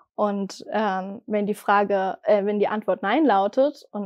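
The voice belongs to a woman and is fairly high-pitched. The background is quiet. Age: 20s. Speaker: person recovering from gaming addiction. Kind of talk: personal testimony interview. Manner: hesitant with frequent fillers. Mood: calm, reflective, personal. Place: studio.

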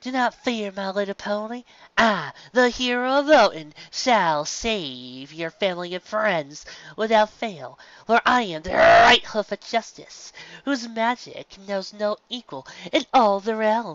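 A female-sounding voice at medium pitch performs a put-on character voice at a fairly slow pace. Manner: mockingly heroic, pompous.

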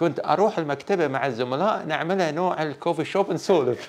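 A man with a Bahraini accent speaks with ordinary pitch variation. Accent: Bahraini Gulf Arabic. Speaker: sports educator. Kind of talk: interview. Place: studio. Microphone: lapel.

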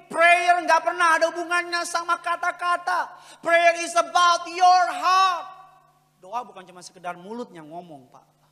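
A man talks at a fairly slow pace with a quiet background. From Indonesia. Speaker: preacher. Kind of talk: sermon. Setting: church. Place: church. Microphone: handheld.

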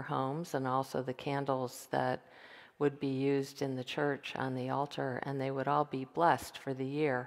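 Over a quiet background, a woman speaks at a moderate pace with a very deep, low pitch. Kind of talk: liturgical welcome and explanation. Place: church. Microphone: headset.

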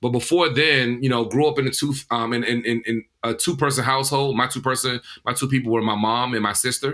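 Barely pausing, a man with an American accent talks at a fairly quick pace in a bright, sharp tone, his medium pitch held in fairly even intonation. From Washington D.C. area. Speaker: tech startup founder, formerly incarcerated. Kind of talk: interview.

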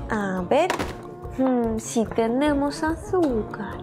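Clear music plays behind a woman with a high pitch. She speaks at a very slow pace. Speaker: children's toy video host. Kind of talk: playful children's show talk. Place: studio.

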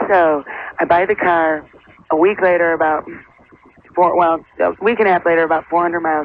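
The speech moves at a moderate pace with long, frequent pauses. Noticeable background noise is present. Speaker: actor. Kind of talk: phone-in call. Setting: phone call. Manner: animated.

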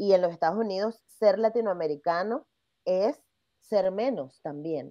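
A woman with a Venezuelan accent speaks at medium pitch and a fairly slow pace with lively intonation against a quiet background. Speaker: podcast host; podcast guest. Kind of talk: interview. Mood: engaged, reflective. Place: home room.

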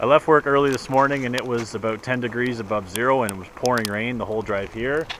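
With music in the background and a dry sound with no echo, a man talks at a fairly quick pace. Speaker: outdoor vlogger. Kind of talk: casual vlog chat. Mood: wry, relaxed. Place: open country. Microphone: phone near.

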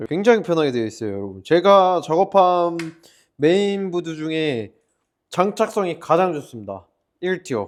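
Against a quiet background, a loud man with a high pitch talks at a fairly slow pace, his pitch swinging very widely. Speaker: PC builder and shop owner. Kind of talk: tutorial.

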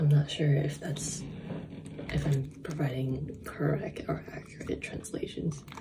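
A soft-spoken woman at a fairly slow pace against loud background noise. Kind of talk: casual vlog chat. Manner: soft-spoken, hushed ASMR voice. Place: home room. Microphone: phone near.

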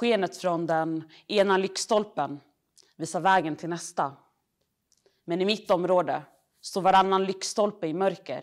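With long, frequent pauses, a woman talks at a fairly slow pace in fairly even intonation. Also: quiet background. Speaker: poet. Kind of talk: poetry reading. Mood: earnest, critical tone. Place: hall.

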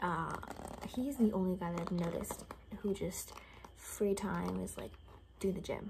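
A soft-spoken woman at a moderate pace, with fairly even intonation, over noticeable background noise. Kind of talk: role-play monologue to the viewer. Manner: soft-spoken ASMR roleplay voice. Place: home room. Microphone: phone near.

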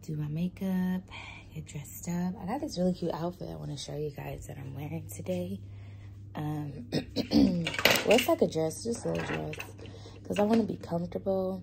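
Against loud background noise, a woman speaks at a moderate pace with long, frequent pauses. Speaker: vlogger. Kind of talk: casual vlog chat. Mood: relaxed, cheerful. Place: home room. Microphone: phone near.

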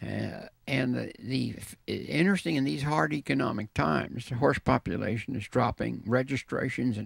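A man talks at a moderate pace with a fairly low pitch and vocal fry. The background is quiet and the sound is dry with no echo. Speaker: guest. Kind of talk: interview answer. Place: hall. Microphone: handheld.

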